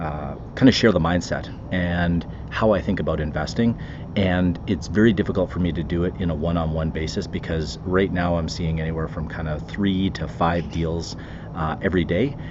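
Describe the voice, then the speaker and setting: At a moderate pace, a man with a very deep, low pitch speaks with ordinary pitch variation amid noticeable background noise. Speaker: commercial real estate investor. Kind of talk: casual podcast monologue. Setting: outdoors by the water. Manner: soft-spoken; hesitant, many fillers.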